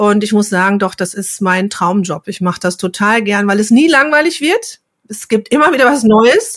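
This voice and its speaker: A woman with a normal speaking voice talks at a moderate pace, her fairly high pitch rising and falling in lively intonation. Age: 50s. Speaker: pharmacy technician and trainer. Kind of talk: casual interview.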